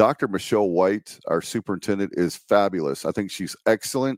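Speaking at a moderate pace in a normal speaking voice, this speaker has an American accent, and the sound is dry and close with no echo. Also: man. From eastern North Carolina. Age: 50s. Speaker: podcast host and local political candidate. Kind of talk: campaign livestream monologue.

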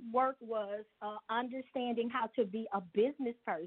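A normal speaking voice with an American accent moves at a moderate pace with ordinary pitch variation. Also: woman. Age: 50s. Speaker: business owner. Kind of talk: interview.

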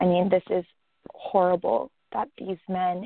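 A woman speaks in a plain, everyday voice at medium pitch and a moderate pace. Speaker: co-guest, advocate. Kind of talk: interview.

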